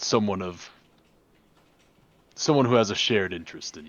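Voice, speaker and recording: In a raspy, put-on character voice, a man speaks fairly quickly at a fairly low pitch, with ordinary pitch variation and big swings in loudness. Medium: actual play.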